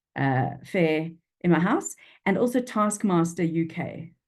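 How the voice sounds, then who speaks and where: A woman speaks in a Durban accent. The background is quiet. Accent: South African, flat Durban vowels. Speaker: freelance copywriter. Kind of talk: interview. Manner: animated.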